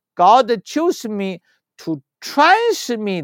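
With a Chinese accent, the speaker's pitch swings very widely. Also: man, very clean recording, silent background. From China. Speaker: spiritual healer and teacher. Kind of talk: interview. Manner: halting.

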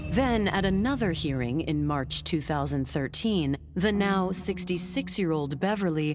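In a very deep, low voice with vocal fry, a woman speaks at a very slow pace with lively intonation and a serious, dramatic tone. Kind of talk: true-crime narration. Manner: grave, measured, dramatic; crisp, suspenseful, serious.

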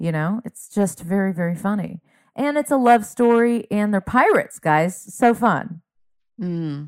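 A woman with an unremarkable speaking voice talks at a fairly slow pace and a medium pitch, with lively intonation. The sound is dry and close, with no echo. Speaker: comedian. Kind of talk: casual conversation.

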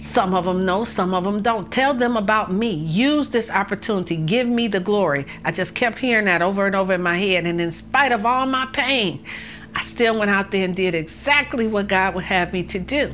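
Woman with a Detroit accent, medium pitch, ordinary pitch variation and a moderate pace. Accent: Detroit American. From US Midwest, Detroit. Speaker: victim's mother. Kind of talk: interview testimony.

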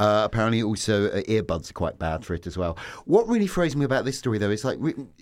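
On a very clean recording with a silent background, a man talks very fast with very wide pitch swings. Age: 40s. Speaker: journalist. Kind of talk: casual chat. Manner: halting.

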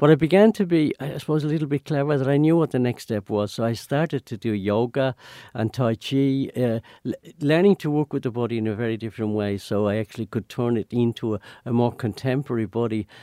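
A man speaks very fast at a medium pitch, his tone dark and mellow with ordinary pitch variation. The sound is dry and close with no echo, and the recording is very clean over a silent background. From Ireland. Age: 80s+. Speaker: dancer and choreographer. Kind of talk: interview. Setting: studio. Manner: halting, many hesitations and repeated words.

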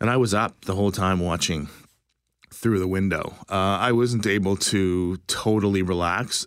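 In a very clean recording with a silent background, a man talks in an unremarkable speaking voice at a fairly low pitch. His pace is moderate, his loudness very even and his intonation fairly even. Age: 50s. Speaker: longtime friend of the host, parent. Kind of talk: personal story interview.

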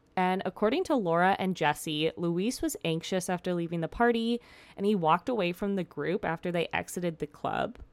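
On a very clean recording with a silent background and a dry, close sound with no echo, a woman with an ordinary speaking voice talks at medium pitch and a fairly quick pace. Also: ordinary pitch variation. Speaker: true crime podcast host. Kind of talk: casual storytelling narration. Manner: casual, with fillers and laughter.

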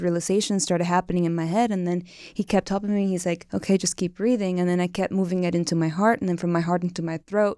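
Very fast with fairly even intonation, a woman talks in a Cuban accent and a dark, mellow tone. The recording is very clean, with a silent background. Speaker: tantra teacher. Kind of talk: casual interview chat.

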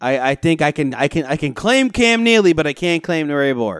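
A man speaks with a fairly high pitch in a normal speaking voice at a moderate pace. The recording is very clean, with a silent background. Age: 20s. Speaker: sports podcast co-host. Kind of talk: casual chat.

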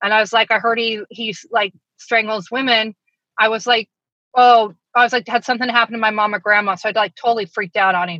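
A woman with an American accent talks very fast in a fairly high, bright and sharp voice, her intonation fairly even. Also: dry, close sound with no echo. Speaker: daughter of serial killer, author. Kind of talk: interview testimony.

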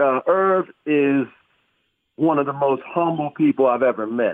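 With an American accent, a man has an unremarkable speaking voice, a fairly high pitch and ordinary pitch variation. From Philadelphia. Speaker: author and sports writer. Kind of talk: interview.

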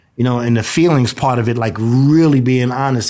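Talking at a very fast pace, a man with a New York accent speaks at medium pitch. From New York, Brooklyn. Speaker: nonprofit founder in prisoner reentry, formerly incarcerated. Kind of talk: interview testimony. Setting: radio studio. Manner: animated.

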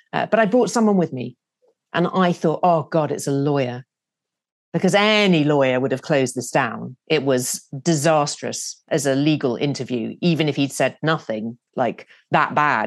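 Someone with a British accent talks at a moderate pace. The intonation is lively and the background quiet. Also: woman, very deep, low pitch for a woman. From UK. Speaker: TV news producer. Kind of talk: interview.

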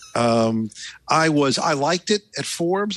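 A man's fairly high, normal speaking voice with lively intonation. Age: 60s. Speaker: tech journalist. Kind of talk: panel discussion. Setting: remote call.

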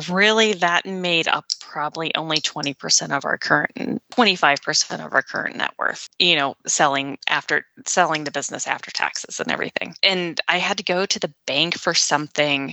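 A normal speaking voice moves at a moderate pace with hardly any pauses. Pitch variation is ordinary. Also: woman, fairly low pitch for a woman. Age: 40s. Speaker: former nurse practitioner and business owner. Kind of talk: interview.

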